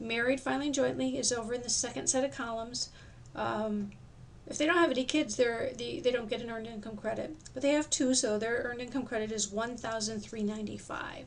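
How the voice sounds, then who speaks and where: Here a woman with a fairly high pitch speaks at a fairly quick pace. Her pitch varies in an ordinary way, and the room echo is audible. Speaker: tax course instructor. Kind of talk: recorded lecture. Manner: fast; halting, with many fillers.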